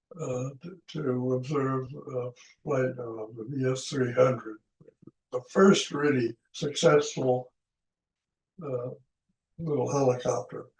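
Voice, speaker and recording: The speaker goes at a very slow pace with long, frequent pauses, fairly even intonation and a somewhat breathy sound. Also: man, medium pitch for a man. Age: 80s+. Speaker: retired aeronautical engineer. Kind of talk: interview answer.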